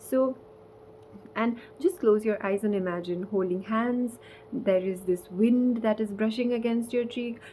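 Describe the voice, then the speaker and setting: A woman with a non-native accent at a fairly slow pace. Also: ordinary pitch variation. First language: not English. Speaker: spiritual content creator. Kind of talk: casual vlog talk. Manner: halting.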